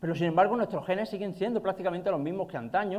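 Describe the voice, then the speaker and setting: A man with an Andalusian accent speaks at a high pitch. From Andalusia, Spain. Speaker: nutrition and exercise scientist. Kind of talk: conference talk. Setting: stage with audience. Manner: fast.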